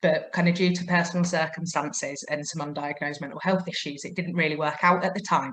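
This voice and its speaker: This is an ordinary speaking voice from a woman. Her pitch is fairly low and her pace fairly quick. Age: 30s. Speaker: mature student. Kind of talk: testimony.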